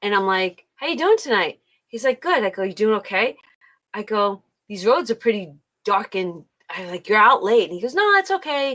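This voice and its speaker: A woman with an American accent has an ordinary speaking voice, fairly high in pitch. She talks at a moderate pace with lively intonation and big swings in loudness. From US Midwest, Detroit. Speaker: livestream host. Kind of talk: casual chat. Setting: live stream.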